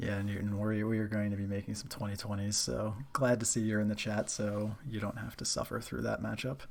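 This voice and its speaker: A soft-spoken man with a fairly low pitch, fairly even intonation, a fairly quick pace and hardly any pauses. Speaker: streamer. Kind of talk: casual chat. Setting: live stream.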